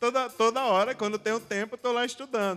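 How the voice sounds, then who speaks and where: A man speaks at a moderate pace in an extremely high pitch, his intonation fairly even, with music in the background. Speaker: preacher answering audience questions. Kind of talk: Q&A talk at church youth event.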